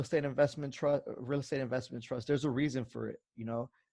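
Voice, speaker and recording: The background is quiet as a man talks in a fairly high voice. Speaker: finance channel host presenting to investors. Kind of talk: presentation at online finance conference. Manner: fast; casual with many fillers.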